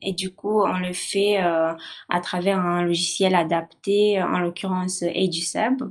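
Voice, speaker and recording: A non-native accent is heard. The delivery is very slow. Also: woman. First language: not French (speaking French). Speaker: university student. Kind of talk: testimony. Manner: halting, many hesitations.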